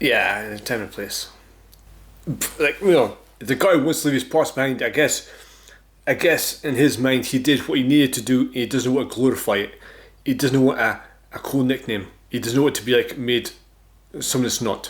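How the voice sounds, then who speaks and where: A man in a Scottish accent at medium pitch, with ordinary pitch variation, a moderate pace and long, frequent pauses. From Scotland. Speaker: YouTube reaction host. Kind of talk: casual reaction commentary. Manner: casual, conversational.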